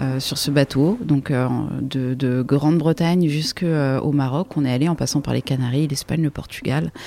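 Against noticeable background noise, a woman speaks at a moderate pace with a very deep, low pitch and ordinary pitch variation. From France, Champagne (Troyes). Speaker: sailor and expedition leader. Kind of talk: storytelling interview.

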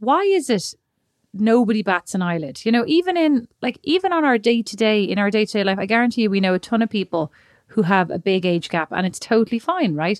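In a very clean recording with a silent background, a woman with an Irish accent speaks at a fairly quick pace and a fairly high pitch, with very wide pitch swings. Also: dry, close sound with no echo. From Ireland. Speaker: podcast co-host. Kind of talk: casual chat.

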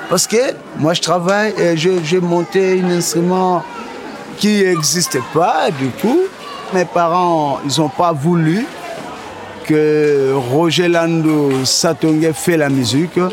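A man at a very slow pace with long, frequent pauses, high pitch, ordinary pitch variation and very even loudness, plus audible room echo and noticeable background noise. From DR Congo. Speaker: musician. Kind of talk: interview testimony. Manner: halting, repeats words.

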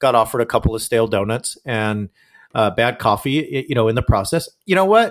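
This is an ordinary speaking voice from a man with an American accent, medium in pitch and at a fairly quick pace. The recording is very clean with a silent background. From Southern California, Orange County. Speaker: scholar and author, former evangelical. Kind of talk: interview.

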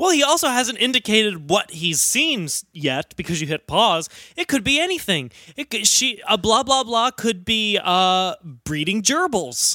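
A man projects a raised voice with a bright, sharp tone, high pitch, and very wide pitch swings, speaking at a fairly slow pace in a dry, close sound with no echo. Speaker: podcast host. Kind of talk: casual comedy podcast chat.

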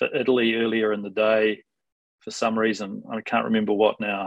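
A man speaks with a New Zealand accent. His pitch is medium and his pace fairly quick. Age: 40s. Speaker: sports lawyer. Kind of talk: podcast interview.

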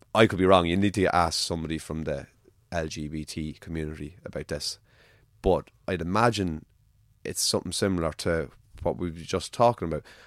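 Speaking with an Irish accent, a man has a very deep, low pitch and ordinary pitch variation. He talks at a fairly quick pace in a very clean recording with a silent background. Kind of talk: casual chat.

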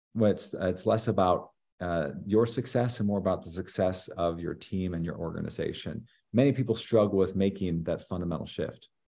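With an American accent, a man speaks fairly quickly in a very deep, low voice of dark, mellow tone and ordinary pitch variation. The recording is very clean, with a silent background. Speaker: leadership professor. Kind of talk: interview. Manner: frequent fillers and repetitions.

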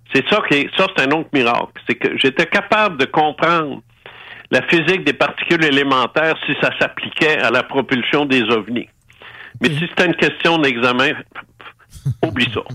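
A man's bright, sharp tone holds very even loudness at a fairly high pitch, broken by long, frequent pauses. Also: ordinary pitch variation, moderate pace. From Quebec City. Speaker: former radio host. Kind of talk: testimony.

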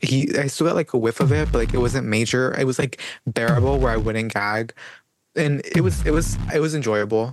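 A man speaks at a medium pitch and a fairly quick pace. It is an ordinary speaking voice with ordinary pitch variation. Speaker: podcast co-host. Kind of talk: casual chat.

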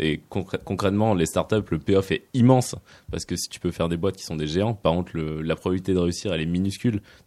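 Speaking at a fairly quick pace, a man has a dark, mellow tone and a very deep, low pitch with ordinary pitch variation. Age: 20s. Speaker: venture capital investor. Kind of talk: radio interview.

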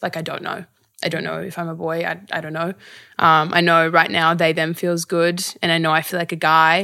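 A woman with an Australian accent talks very fast in a fairly low pitch, with a bright, sharp tone and monotone, flat intonation. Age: 20s. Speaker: actor and activist. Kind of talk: interview.

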